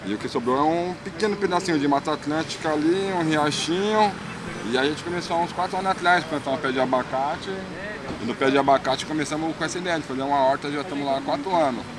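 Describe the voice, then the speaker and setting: Over noticeable background noise, a man with a fairly high voice talks at a very fast pace with ordinary pitch variation. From São Paulo east zone, Cidade Tiradentes. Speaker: street artist and painter. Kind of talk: casual interview.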